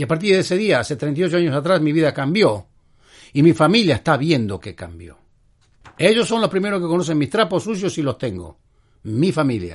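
Against a quiet background, a man with vocal fry speaks at a moderate pace and a fairly high pitch, his pitch swinging very widely. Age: 70s. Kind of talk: religious talk show monologue. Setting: studio.

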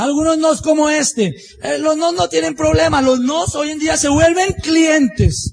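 A man talks at an extremely high pitch and a very slow pace, with lively intonation. Noticeable background noise can be heard. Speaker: business motivational speaker. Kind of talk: motivational talk.

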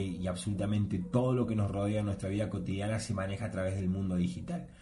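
A man talks at a fairly quick pace in a fairly low pitch, his tone dark and mellow and somewhat breathy. Pitch variation is ordinary, and there is audible room echo. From Argentina. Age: 30s. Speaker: podcast host. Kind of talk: solo monologue podcast.

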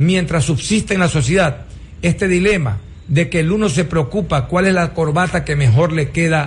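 Using an ordinary speaking voice, a man with a fairly high pitch and ordinary pitch variation talks at a moderate pace. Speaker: government minister. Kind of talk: radio interview.

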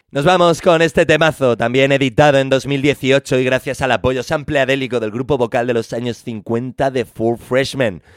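Over music in the background, the speaker talks at a moderate pace with hardly any pauses, an animated tone and ordinary pitch variation, the sound dry and close with no echo. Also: man, medium pitch for a man. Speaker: radio music show host. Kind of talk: radio DJ presentation.

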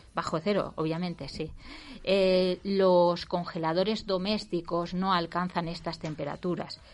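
Speaking at a fairly slow pace, a woman keeps a monotone, flat intonation at a fairly low pitch. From Valencia, Spain. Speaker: radio cooking show host. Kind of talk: casual radio chat.

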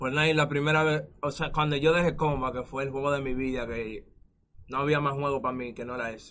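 Speaking at a fairly quick pace, a man with a plain, everyday voice keeps a fairly even intonation at a fairly high pitch. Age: 20s. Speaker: esports gamer. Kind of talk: casual interview.

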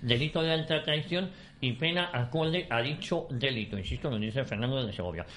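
The speech runs at a fairly quick pace. It has a normal speaking voice and ordinary pitch variation. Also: man. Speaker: radio host. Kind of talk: talk radio debate.

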